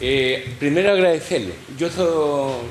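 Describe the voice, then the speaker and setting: There is noticeable background noise and audible room echo as a man with a fairly high pitch talks with ordinary pitch variation. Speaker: coal miner, audience member. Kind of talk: audience remarks at event.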